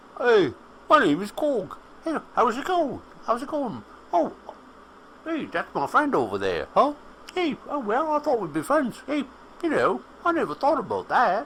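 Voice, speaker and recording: A high-pitched, put-on character voice moves at a moderate pace with long, frequent pauses. Background noise is clearly heard. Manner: cutesy, wimpy.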